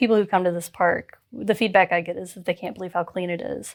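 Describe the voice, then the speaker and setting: A very clean recording with a silent background. The speaker has a slight Southern US accent. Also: woman. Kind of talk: conversational, explaining.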